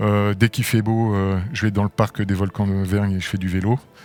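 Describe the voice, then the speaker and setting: Speaking at a moderate pace, a man keeps a fairly low pitch and a monotone, flat intonation. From France, moved often incl. abroad. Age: 60s. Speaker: sports club president and business executive. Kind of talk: interview. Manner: hesitant, many fillers.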